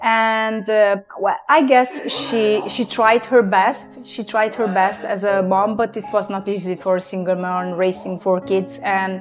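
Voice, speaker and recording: Speaking in a Hungarian accent, a woman at medium pitch talks at a fairly slow pace with hardly any pauses. Her intonation is fairly even, and music plays in the background. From Transylvania, Romania (Hungarian minority). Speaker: testimony guest. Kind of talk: testimony. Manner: halting, many fillers.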